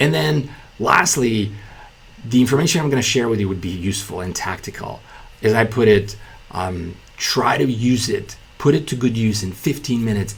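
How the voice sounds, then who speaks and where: Audible room echo surrounds a man speaking at a moderate pace with lively intonation. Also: medium pitch for a man. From Bulgaria. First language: Bulgarian. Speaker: entrepreneur and business YouTuber. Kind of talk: casual talking-head video explainer. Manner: many fillers and self-repeats.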